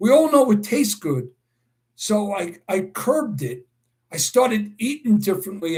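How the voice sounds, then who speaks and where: With a New York accent, a man talks at a fairly slow pace in a high voice with lively intonation. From New York City (Brooklyn). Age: 60s. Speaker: horse racing handicapper and livestream host. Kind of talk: live stream Q&A chat. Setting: live video stream. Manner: enthusiastic.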